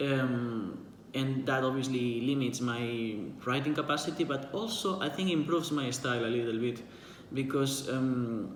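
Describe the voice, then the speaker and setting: A man with a Spanish accent speaks at a moderate pace and medium pitch, with ordinary pitch variation and very even loudness, over audible room echo and noticeable background noise. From Spain. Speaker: writer and book vlogger. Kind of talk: casual monologue answering a book tag. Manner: halting, many fillers and repetitions.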